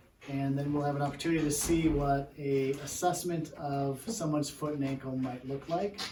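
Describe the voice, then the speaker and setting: A man's fairly high-pitched voice with fairly even intonation, audible room echo and noticeable background noise. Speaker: physical therapist. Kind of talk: workshop presentation. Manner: sometimes softer.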